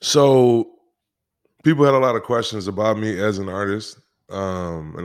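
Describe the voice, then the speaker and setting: This man speaks at a moderate pace with a fairly low pitch and ordinary pitch variation, in a very clean recording with a silent background. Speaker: musician and former football player. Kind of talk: casual interview chat.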